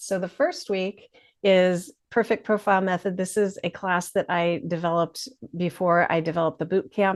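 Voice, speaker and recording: Here is a woman with a normal speaking voice, pitched at a medium level. She keeps a moderate pace and ordinary pitch variation. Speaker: marketing consultant and business founder. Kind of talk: webinar presentation. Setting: live webinar, presenting alone.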